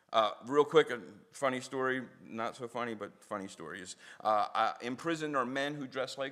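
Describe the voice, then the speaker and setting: A man with a Philadelphia accent talks at a fairly quick pace and medium pitch, his tone animated, bright and sharp. His pitch varies in an ordinary way while his loudness swings widely. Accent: Philadelphia American English. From South Philadelphia, US. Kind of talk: public talk with storytelling. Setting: synagogue audience.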